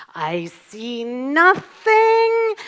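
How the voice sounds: Someone uses a put-on character voice at a high pitch, with very wide pitch swings.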